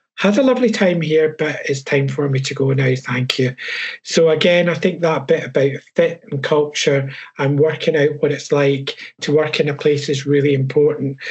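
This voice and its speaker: A man with a Scottish accent, fairly high in pitch, with fairly even intonation at a moderate pace. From Scotland. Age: 60s. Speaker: HR professional and coach. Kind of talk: webinar panel talk.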